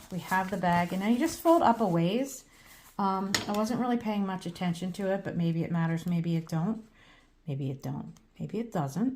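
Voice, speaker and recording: Somewhat breathy, a woman talks at a moderate pace and medium pitch with ordinary pitch variation. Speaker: crafter. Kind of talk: tutorial. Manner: casual, with many fillers.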